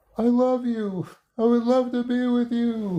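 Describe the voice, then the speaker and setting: A man puts on a character voice with an extremely high pitch. He speaks at a fairly slow pace with fairly even intonation. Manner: affectionate, inviting.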